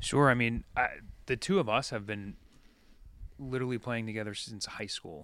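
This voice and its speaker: The background is silent and the recording very clean. A man talks at moderate speed, his pitch in the middle range. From Long Island, New York. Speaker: rock band guitarist. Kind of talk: casual chat. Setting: band practice space.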